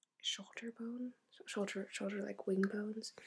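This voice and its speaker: Soft-spoken, a woman whispers. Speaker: ASMR artist doing a haircut role play. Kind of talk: ASMR role play. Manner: soft-spoken, whispering.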